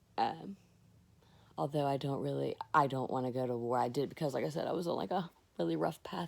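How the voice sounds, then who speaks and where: A woman speaks very fast and loud, her very deep, low voice full of vocal fry and very wide pitch swings, on a very clean recording with a silent background. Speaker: vlogger, army veteran. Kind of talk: casual personal vlog monologue. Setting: lying down while recording.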